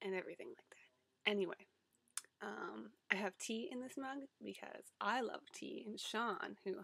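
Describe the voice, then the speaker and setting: At a moderate pace, a woman speaks. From Ontario, Canada. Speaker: online community editor making vlog. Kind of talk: casual vlog. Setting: webcam recording on a laptop. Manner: casual with many fillers.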